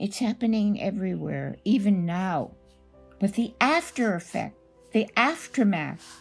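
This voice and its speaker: With music in the background, a woman of medium pitch speaks fairly slowly and with lively intonation. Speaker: Holocaust survivor, author and speaker. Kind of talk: personal testimony.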